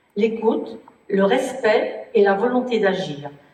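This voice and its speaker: There is audible room echo as a woman speaks. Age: 70s. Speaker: municipal election candidate. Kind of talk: self-introduction at public meeting.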